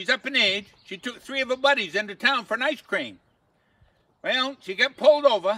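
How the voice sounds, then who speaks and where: A man's extremely high-pitched, raised and projected voice, fairly quick and lively in intonation, with a dry sound and no echo. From Maine. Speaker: humorist, storyteller; storyteller. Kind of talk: comic storytelling monologue. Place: garden. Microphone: camera far.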